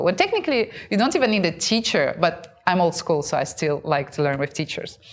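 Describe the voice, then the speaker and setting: A woman at a medium pitch with a Russian accent, over noticeable background noise. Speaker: content creator and show host. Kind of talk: casual talk to camera.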